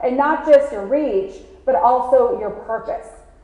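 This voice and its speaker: The recording carries audible room echo. Noticeable background noise sits underneath. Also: woman. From San Diego, California (US-Mexico border), born in Mexico. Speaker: keynote speaker, business owner. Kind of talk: conference keynote. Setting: stage with audience. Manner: fast.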